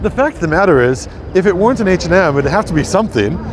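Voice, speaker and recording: A man with an American accent and lively intonation, over noticeable background noise. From US Midwest, Minnesota. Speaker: tour guide. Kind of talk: live-streamed walking tour. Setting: outdoors on city streets. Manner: casual, chatty with filler words.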